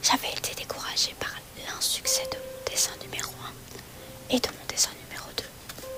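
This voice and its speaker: A woman whispers at a fairly slow pace. Music plays in the background. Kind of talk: bedtime story reading. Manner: soft-spoken, slow.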